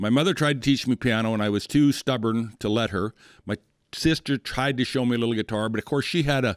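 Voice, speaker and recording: A man at a medium pitch with an American accent, at a very fast pace with ordinary pitch variation, in a dry, close sound with no echo and a very clean recording with a silent background. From western South Dakota. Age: 60s. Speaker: rancher and cowboy poet musician. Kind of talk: casual interview chat. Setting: studio.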